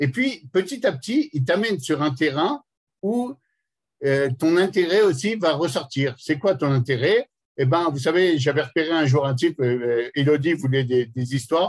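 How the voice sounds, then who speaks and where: A man's fairly high-pitched, somewhat breathy voice with lively intonation. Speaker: educator. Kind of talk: lecture. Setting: conference hall with audience. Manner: fast; animated.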